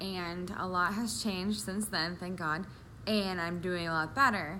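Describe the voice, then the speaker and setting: The voice has a bright, sharp tone. Audible room echo surrounds it. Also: woman. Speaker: vlogger with diabetes, medical office worker. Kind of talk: personal vlog. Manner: sometimes mumbling.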